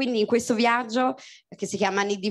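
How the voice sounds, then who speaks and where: Quiet surroundings behind a woman's voice. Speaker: presenter and playwright. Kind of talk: introduction of author. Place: stage. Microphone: handheld.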